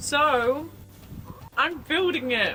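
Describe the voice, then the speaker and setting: A woman in a southern English accent swings very widely in pitch, with noticeable background noise behind her. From England, near London. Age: 20s. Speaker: lifestyle vlogger. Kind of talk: casual vlog voice-over.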